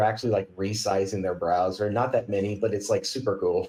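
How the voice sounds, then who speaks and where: In an American accent, a man with a dark, mellow tone speaks at a fairly quick pace. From Kentucky, US South. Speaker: software company CTO, podcast guest. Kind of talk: casual tech podcast chat.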